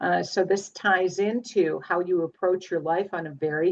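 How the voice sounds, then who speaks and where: Using a normal speaking voice, a woman talks at a fairly low pitch with ordinary pitch variation. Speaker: astrologer. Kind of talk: live group astrology session on video call.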